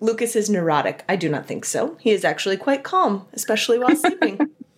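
Against noticeable background noise, a woman with a fairly high pitch talks at a moderate pace with very wide pitch swings. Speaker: podcast host, librarian. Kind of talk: interview; scripted introduction. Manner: enthusiastic.

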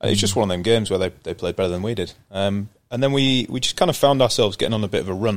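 This man has a Yorkshire accent. His pitch is fairly low. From Yorkshire, northern England. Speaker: professional cricketer. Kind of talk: casual interview.

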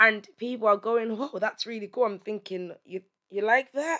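This woman has an ordinary speaking voice, pitched fairly high, with ordinary pitch variation and a moderate pace. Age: 30s. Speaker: podcast host. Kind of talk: solo monologue.

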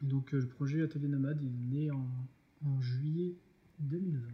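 A man with a fairly high, somewhat breathy voice speaks at a moderate pace with fairly even intonation and long, frequent pauses. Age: 30s. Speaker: food truck co-owner, art director. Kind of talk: casual interview.

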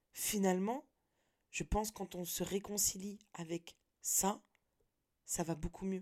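The speaker is a woman with a fairly low pitch. Her pitch variation is ordinary. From France, Nantes. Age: 30s. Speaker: podcaster. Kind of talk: personal monologue. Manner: casual slangy, hesitant.

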